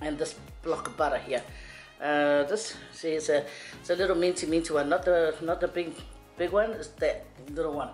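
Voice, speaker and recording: A woman speaks at a fairly low pitch with fairly even intonation and long, frequent pauses. Faint music plays in the background. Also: moderate pace. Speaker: home cook vlogger. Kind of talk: casual cooking tutorial chat. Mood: playful, joking. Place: kitchen.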